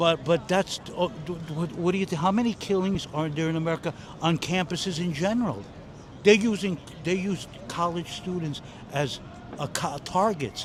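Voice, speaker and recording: At a moderate pace, a speaker with a New York accent shows ordinary pitch variation over noticeable background noise. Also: man, high pitch for a man. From New York City. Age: 60s. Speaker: retired aircraft mechanic and Air Force veteran. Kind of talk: street interview. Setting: outdoors. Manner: halting.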